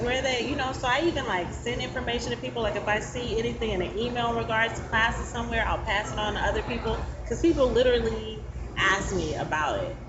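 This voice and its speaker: Over noticeable background noise and with audible room echo, a woman talks at a very fast pace. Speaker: stand-up comedian and co-host. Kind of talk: casual chat.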